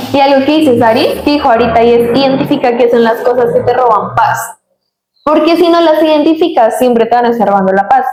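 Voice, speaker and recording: At a very fast pace and very even loudness, a woman speaks in a high voice, with audible room echo and music in the background. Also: ordinary pitch variation. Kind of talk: casual chat. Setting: studio.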